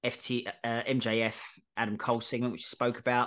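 Over a quiet background, a man talks in a normal speaking voice at a medium pitch. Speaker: wrestling podcast host. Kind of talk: casual chat, show review.

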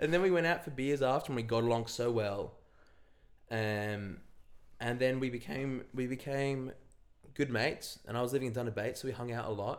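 A man with an Australian accent talks at a moderate pace, with a medium pitch and ordinary pitch variation. He leaves long, frequent pauses. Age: 20s. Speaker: singer-songwriter. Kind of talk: casual chat.

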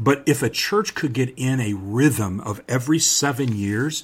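The man's voice is somewhat breathy, medium in pitch with ordinary variation. He speaks at a fairly slow pace. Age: 50s. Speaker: pastor and podcast host. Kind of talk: podcast monologue on church leadership.

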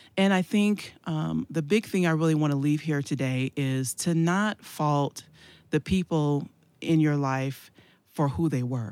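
A woman's very deep, low voice at a fairly slow pace, with a very clean recording, a silent background, and a dry, close sound with no echo. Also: ordinary pitch variation. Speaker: evangelist and church leader. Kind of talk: casual chat.

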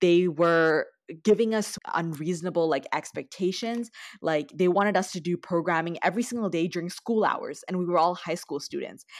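A woman with a Canadian accent speaks in a plain, everyday voice at a moderate pace, her pitch fairly low with ordinary variation. The recording is very clean, with a silent background. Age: 20s. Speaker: youth activist and student. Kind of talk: interview.

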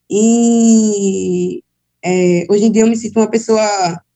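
The voice belongs to a woman. Her intonation is fairly even. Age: young. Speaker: HIV activist. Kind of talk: personal testimony.

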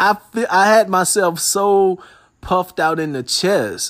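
A man with a high-pitched voice is heard on a very clean recording with a silent background. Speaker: solo podcast host. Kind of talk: casual monologue. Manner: relaxed, conversational with fillers.

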